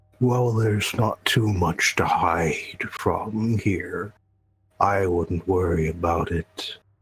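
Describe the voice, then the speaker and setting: A man puts on a character voice with a fairly low pitch, speaking at a very slow pace. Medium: actual play. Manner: relaxed, friendly.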